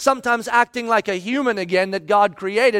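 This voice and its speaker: An extremely high-pitched man with an animated tone at a fairly quick pace, dry and close with no echo in a very clean recording with a silent background. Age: 40s. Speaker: pastor. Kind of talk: sermon.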